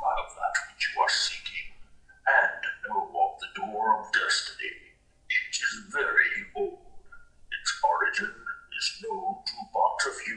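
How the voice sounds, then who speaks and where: Using a put-on character voice with an extremely high pitch, a man talks at a fairly slow pace and leaves long, frequent pauses. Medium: video game. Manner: elegant, formal, stately.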